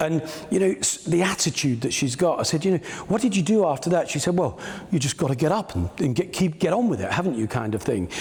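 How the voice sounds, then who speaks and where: Over noticeable background noise, a man with a fairly high pitch talks at a very fast pace, his voice making very wide pitch swings. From England, Peterborough. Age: 60s. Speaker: business mentor. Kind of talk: keynote speech. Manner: conversational, hesitant fillers.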